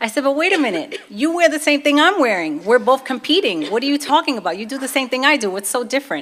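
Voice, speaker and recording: A woman with a Brooklyn accent at a high pitch, very fast pace and very wide pitch swings, with hardly any pauses, over noticeable background noise. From US Northeast, Brooklyn, New York. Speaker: convert giving her testimony. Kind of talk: testimony. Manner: casual, conversational.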